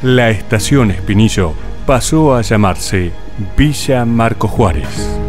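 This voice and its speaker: Over music in the background, a man with a fairly low pitch talks very slowly, his intonation lively. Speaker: professional event announcer. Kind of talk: documentary narration.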